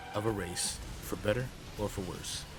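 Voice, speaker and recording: Music plays behind a man who speaks at a fairly slow pace in a fairly low pitch. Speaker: gaming video narrator. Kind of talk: gaming documentary narration.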